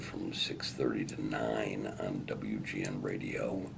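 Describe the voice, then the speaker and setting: Here a man speaks with an American accent. Audible room echo and noticeable background noise are present. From Chicago, US Midwest. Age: 60s. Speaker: newspaper columnist and radio host. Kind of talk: interview.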